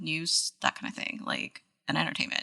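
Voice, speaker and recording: Vocal fry runs through this woman's speech. Her American accent comes with a bright, sharp tone. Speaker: podcast co-host. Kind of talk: casual chat. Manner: halting, many fillers.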